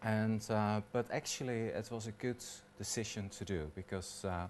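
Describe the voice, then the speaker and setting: A man speaks with a slight Dutch accent. His pace is moderate and his pitch variation ordinary. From Netherlands. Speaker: hairdresser. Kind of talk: personal talk. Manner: halting, many fillers.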